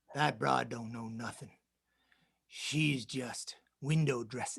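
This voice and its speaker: Putting on a raspy character voice, a man drawls at a fairly slow pace in a medium pitch with fairly even intonation. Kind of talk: film noir voice-over. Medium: stage play. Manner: drawling tough-guy slang.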